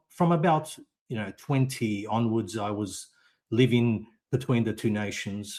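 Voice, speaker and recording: Using an Australian accent, a man speaks at a fairly slow pace and medium pitch with ordinary pitch variation. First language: Italian. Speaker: podcast guest. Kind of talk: interview. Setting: live audio stream. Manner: halting.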